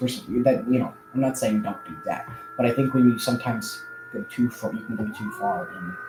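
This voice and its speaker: Music plays in the background as a man speaks. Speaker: youtuber and aspiring musician. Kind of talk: casual livestream chat. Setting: live stream. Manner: halting, many fillers.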